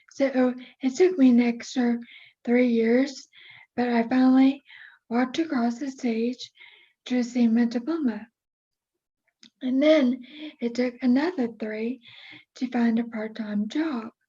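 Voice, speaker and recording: A woman with a high-pitched voice and a dark, mellow tone speaks at a fairly slow pace with fairly even intonation and long, frequent pauses. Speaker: motivational speaker. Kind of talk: interview talk, personal story.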